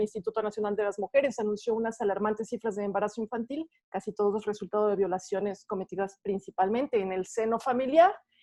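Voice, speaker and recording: At a very fast pace and with hardly any pauses, a woman speaks in a fairly high pitch with ordinary pitch variation. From Mexico. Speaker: philosopher and feminist activist. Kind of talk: prepared talk.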